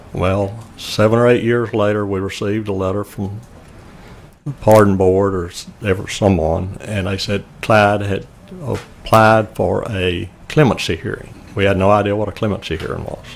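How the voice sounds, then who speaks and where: Speaking at a moderate pace in a Louisiana accent, a man has a fairly low pitch and fairly even intonation. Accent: Louisiana Southern US. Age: 70s. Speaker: murder victim's family member. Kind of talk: testimony.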